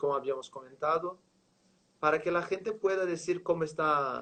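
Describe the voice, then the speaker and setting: This man speaks with a Portuguese accent. His pitch is high. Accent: Portuguese-accented Spanish (portuñol). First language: Portuguese (speaking Spanish). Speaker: live show host. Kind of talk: interview. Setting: online livestream.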